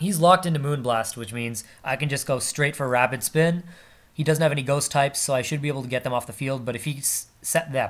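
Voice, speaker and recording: A man in a put-on character voice, raspy and fairly high-pitched, at a fairly quick pace with ordinary pitch variation. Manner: talking very fast.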